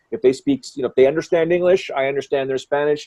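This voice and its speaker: A man with a Canadian accent speaks at a very fast pace with fairly even intonation. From Canada. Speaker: MMA commentator. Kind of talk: interview.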